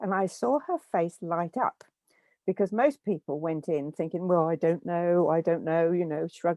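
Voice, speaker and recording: The speaker has an English accent and a moderate pace. Pitch varies in an ordinary way. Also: woman, fairly low pitch for a woman. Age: 70s. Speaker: guest sharing life story. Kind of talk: interview. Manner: hesitant, with repeated words.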